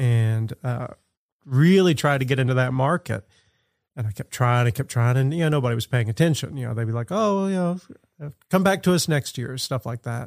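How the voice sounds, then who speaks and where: A normal speaking voice from a man, medium pitch with lively intonation, in a dry, close sound with no echo on a very clean recording with a silent background. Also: fairly quick pace. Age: 50s. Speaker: street artist and art teacher. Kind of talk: casual chat.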